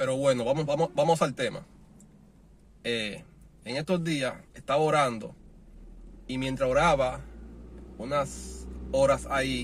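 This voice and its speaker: A man speaks in a room with audible echo. He leaves long pauses, and they come often. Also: fairly slow pace. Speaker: preacher. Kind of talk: sermon. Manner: halting.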